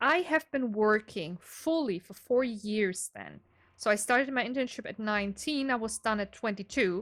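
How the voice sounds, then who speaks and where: A fairly high-pitched woman with a slight German accent, lively intonation and big swings in loudness. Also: moderate pace. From Germany. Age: 20s. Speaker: gaming YouTuber. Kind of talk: casual game walkthrough. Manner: unscripted, some hesitations.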